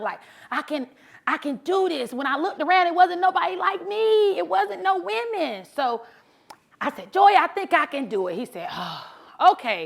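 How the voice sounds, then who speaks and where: Her tone is animated, with very wide pitch swings. This woman speaks at a moderate pace and a high pitch. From US South, South Carolina. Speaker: motivational speaker, truck driver. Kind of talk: motivational talk. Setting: stage with audience. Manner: loud.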